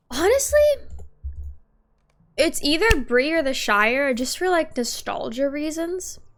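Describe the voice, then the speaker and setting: A woman's extremely high pitch with very wide pitch swings at a fairly slow pace, long, frequent pauses, and audible room echo. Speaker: gaming streamer. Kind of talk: casual gameplay commentary.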